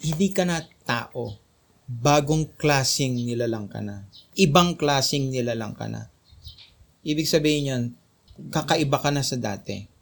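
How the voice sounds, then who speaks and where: A man speaks at a fairly slow pace, with long, frequent pauses. His voice is fairly high and somewhat breathy. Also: ordinary pitch variation. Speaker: Bible study leader. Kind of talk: Bible study teaching.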